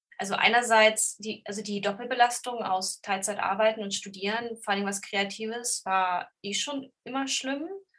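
A woman with an ordinary speaking voice talks at a fairly high pitch and moderate pace. Her pitch varies in an ordinary way, and she hardly pauses at all. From Lower Saxony, Germany (Braunschweig). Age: 30s. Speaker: bookseller with ADHD. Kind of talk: casual interview chat.

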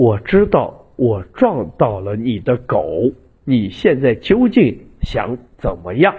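A man puts on a character voice at medium pitch. He talks at a fairly slow pace. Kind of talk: crisp standard Mandarin. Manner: slow, deliberate, over-enunciated; calm, composed, slightly amused.

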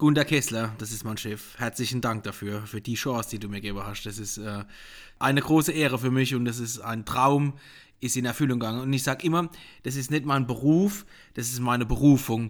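In a Palatine accent, a man talks at a fairly quick pace with ordinary pitch variation and big swings in loudness. The recording is very clean, with a silent background. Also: medium pitch for a man. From Palatinate, Germany (Rupertsberg). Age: 40s. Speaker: podcast host, wine sales and marketing. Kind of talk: casual chat. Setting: living room. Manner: animated.

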